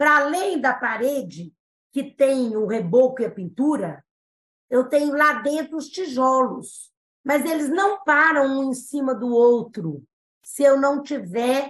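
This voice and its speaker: A woman speaks at a very slow pace in a high voice with ordinary pitch variation. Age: 60s. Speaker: prosecutor. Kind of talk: interview conversation. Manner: formal.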